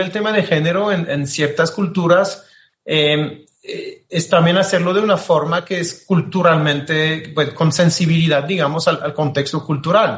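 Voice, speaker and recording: The speaker has a French accent and a fairly slow pace. There are hardly any pauses, and the intonation stays fairly even. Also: man. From France, Marseille. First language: French (speaking Spanish). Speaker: diplomat. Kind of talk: interview. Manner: halting, many repetitions.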